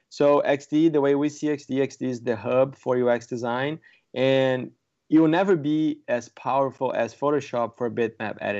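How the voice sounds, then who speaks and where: This man has a medium pitch and ordinary pitch variation, speaking with a Portuguese accent. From Brazil. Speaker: software product manager. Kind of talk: casual interview.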